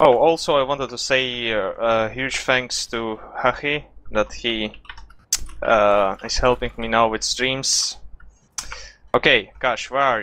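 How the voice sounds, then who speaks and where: Speaking at a very slow pace with long, frequent pauses, a man with a non-native accent keeps a medium pitch and fairly even intonation. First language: not English. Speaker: esports player and coach. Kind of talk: coaching session. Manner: halting, many fillers.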